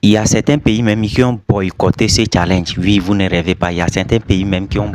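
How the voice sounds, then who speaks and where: A man's fairly low voice in a non-native accent, with noticeable background noise. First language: not French (speaking French). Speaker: YouTuber commentator. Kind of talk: casual video commentary.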